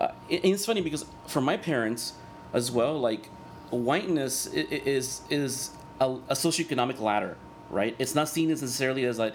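With lively intonation and very even loudness, a man speaks at a moderate pace and medium pitch against noticeable background noise. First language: Spanish. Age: 40s. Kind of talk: casual interview chat.

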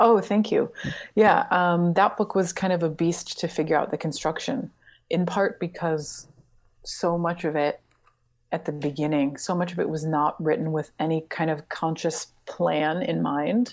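A woman's fairly low voice with ordinary pitch variation, a fairly slow pace, and a very clean recording over a silent background. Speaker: writer and translator. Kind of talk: casual interview conversation. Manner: soft-spoken.

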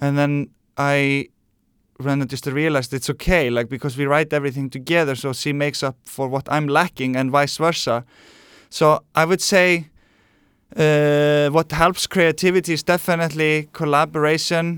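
A man's fairly high-pitched voice with an Icelandic accent, in a very clean recording with a silent background. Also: fairly even intonation, moderate pace, dry, close sound with no echo. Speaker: musician. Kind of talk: interview.

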